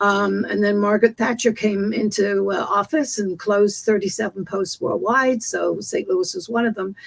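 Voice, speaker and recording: The intonation stays fairly even while noticeable noise sits in the background. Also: woman, medium pitch for a woman, moderate pace, hardly any pauses. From England. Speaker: business owner in promotional marketing. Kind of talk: podcast interview. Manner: hesitant, many fillers.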